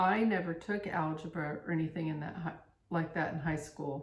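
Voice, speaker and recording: A woman's fairly low-pitched voice with audible room echo. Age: 60s. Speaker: flosstube co-host, cross stitcher. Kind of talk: casual chat.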